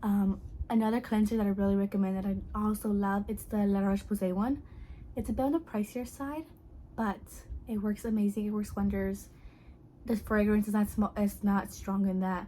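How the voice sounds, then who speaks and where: A woman speaks softly in a somewhat breathy voice of medium pitch. Her intonation stays fairly even. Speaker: beauty vlogger. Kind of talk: product review vlog. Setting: at home at night. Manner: quiet, speaking softly at night; casual, filler-heavy.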